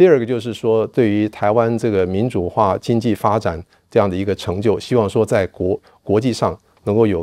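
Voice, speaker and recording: A man's fairly low, dark, mellow voice at a moderate pace with ordinary pitch variation, dry with no echo over a quiet background. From Taiwan, Kaohsiung; Taiwan. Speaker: political science professor; guest, professor. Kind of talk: interview; interview answer. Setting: university campus. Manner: halting, many fillers. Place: empty room.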